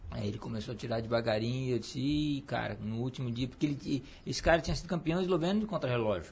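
Speaking at a very fast pace, a man with medium pitch and vocal fry uses lively intonation. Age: 40s. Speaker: cycling coach and former athlete. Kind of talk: casual interview. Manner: halting, many repetitions.

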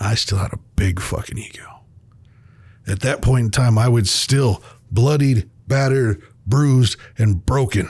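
A man's somewhat breathy, medium-pitched voice at a fairly slow pace, with ordinary pitch variation and long, frequent pauses. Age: 40s. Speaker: podcast host. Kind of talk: casual monologue.

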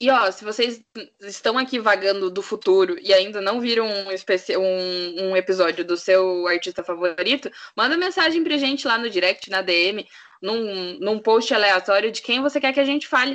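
Using an ordinary speaking voice, a woman talks at a moderate pace with a medium pitch and lively intonation. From Curitiba, Brazil. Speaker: podcast co-host, journalism student. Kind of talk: casual chat.

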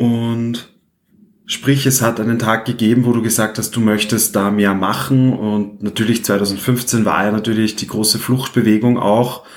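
A man speaks fairly slowly in a medium pitch, his intonation monotone and flat. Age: 20s. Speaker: podcast host. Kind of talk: interview.

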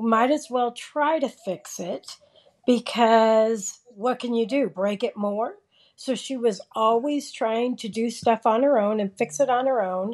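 In a normal speaking voice, a woman with an American accent talks at a fairly slow pace, her fairly high pitch showing ordinary variation. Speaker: retiree and sister of the host. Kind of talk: casual family conversation. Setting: remote call.

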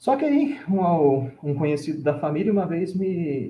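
Here a man talks at a fairly slow pace. His high voice has lively intonation. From Brazil, São Paulo state (Vale do Paraíba). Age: 20s. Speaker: Franciscan friar. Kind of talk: casual interview, life story.

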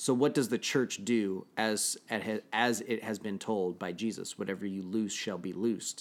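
A man in a normal speaking voice, fairly low pitch, fairly even intonation, moderate pace and hardly any pauses, in a very clean recording with a silent background. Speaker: podcast host. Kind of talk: casual chat. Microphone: new mic.

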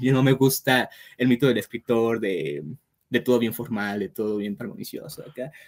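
An unremarkable speaking voice from a man, medium in pitch, with lively intonation at a moderate pace. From Mexico. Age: 20s. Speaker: writer. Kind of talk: casual interview.

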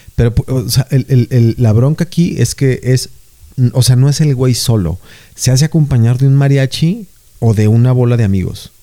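A man with a Mexican accent, a dark, mellow tone, medium pitch, very even loudness and a moderate pace. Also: ordinary pitch variation. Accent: Mexican Spanish (Jalisco). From Mexico, Jalisco. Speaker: podcast co-host. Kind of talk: casual chat.

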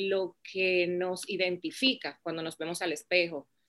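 Against a quiet background, a woman with an unremarkable speaking voice talks at a medium pitch and a fairly slow pace. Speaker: business founder. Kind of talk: interview.

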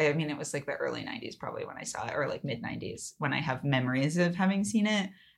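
A woman with an American accent and a plain, everyday voice, fairly low in pitch, at a fairly quick pace with lively intonation and big swings in loudness. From California. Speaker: podcast co-host. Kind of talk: casual chat.

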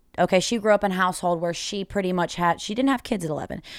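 With an unremarkable speaking voice, this woman talks at a medium pitch with ordinary pitch variation. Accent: American. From Charlotte area, North Carolina. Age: 20s. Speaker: bartender. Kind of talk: casual chat, interview. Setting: bar basement.

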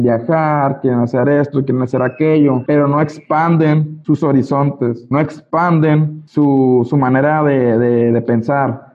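A man talks at a fairly slow pace with a fairly high pitch and a monotone, flat intonation. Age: 20s. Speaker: network marketing leader. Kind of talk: motivational training talk. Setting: video call.

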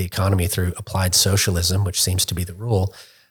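Speaking at a fairly quick pace, a man has a somewhat breathy, fairly low voice on a very clean recording with a silent background. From London, England. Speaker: think tank researcher, former lawyer. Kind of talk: interview podcast.

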